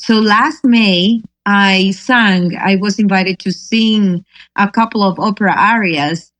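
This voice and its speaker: A woman with a Spanish accent holds a very even loudness throughout. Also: medium pitch for a woman, ordinary pitch variation. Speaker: singer-songwriter. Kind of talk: interview. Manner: halting.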